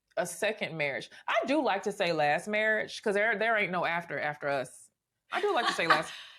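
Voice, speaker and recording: An American-accented woman at a medium pitch, animated and fairly quick, with lively intonation. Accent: Southern accent, mostly hidden. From US South, Memphis, Tennessee. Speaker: podcast host. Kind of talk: casual interview chat.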